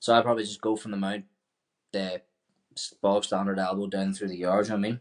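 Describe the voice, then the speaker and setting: Speaking at a very fast pace, a man keeps a fairly low pitch and monotone, flat intonation. He leaves long, frequent pauses. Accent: Northern Irish. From Ireland, County Tyrone. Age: 20s. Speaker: professional MMA fighter. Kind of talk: casual interview.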